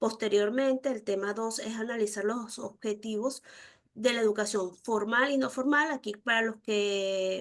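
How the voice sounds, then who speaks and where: In an ordinary speaking voice, a woman talks at a fairly slow pace with a fairly high pitch. Her intonation stays fairly even over a quiet background. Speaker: university lecturer. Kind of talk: online lecture.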